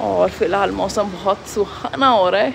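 A woman speaks over noticeable background noise. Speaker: family vlogger. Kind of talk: casual vlog chat. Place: street. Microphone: phone near.

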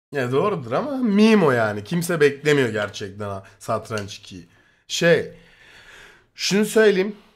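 At a very slow pace, a man speaks in a fairly high pitch. His voice shows very wide pitch swings and big swings in loudness. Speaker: streamer. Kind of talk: casual chat, reacting to a video. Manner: animated, excitable.

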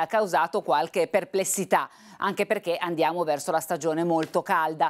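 A woman talking at a fairly quick pace against a quiet background. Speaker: TV presenter. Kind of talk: news presentation. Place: studio.

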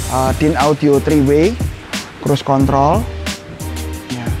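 A man's fairly slow speech over clear background music. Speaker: presenter. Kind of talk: casual walkthrough commentary. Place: workshop. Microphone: lapel.

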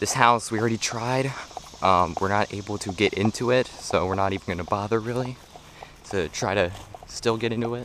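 Against light background noise, a man with an ordinary speaking voice talks at a fairly quick pace with a fairly low pitch and fairly even intonation, the sound dry with no echo. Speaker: explorer vlogger. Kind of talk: casual vlog chat. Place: garden. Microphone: phone near.

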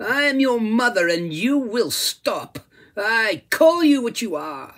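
Putting on a shrill character voice, a man speaks at a very slow pace. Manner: scornful, defiant.

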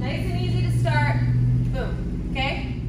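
Loud background noise and audible room echo surround a woman speaking at a fairly slow pace. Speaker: dance teacher. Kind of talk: tutorial. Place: hall. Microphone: camera far.

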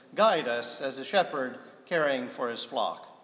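A man's voice comes at a fairly slow pace. Audible room echo follows his words. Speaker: priest preaching. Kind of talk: sermon. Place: church.

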